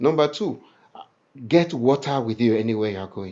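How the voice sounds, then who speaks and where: Speaking at a moderate pace with lively intonation, a man has an unremarkable speaking voice. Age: 60s. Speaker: ministry leader. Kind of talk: info session.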